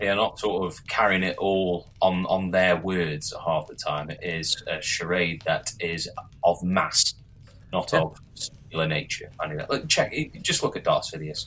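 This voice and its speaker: The speaker has an English accent. The pace is moderate. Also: man. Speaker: podcast co-host. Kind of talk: casual chat.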